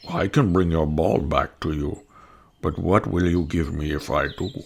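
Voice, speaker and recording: In a put-on character voice, a man talks at a very deep, low pitch. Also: moderate pace. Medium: read story. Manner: earnest, gentle.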